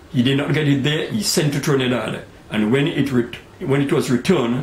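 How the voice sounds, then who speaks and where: Amid noticeable background noise, a man with a fairly high pitch speaks at a fairly quick pace, keeping very even loudness and ordinary pitch variation. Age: 80s+. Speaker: credit union founder. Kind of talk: interview answer.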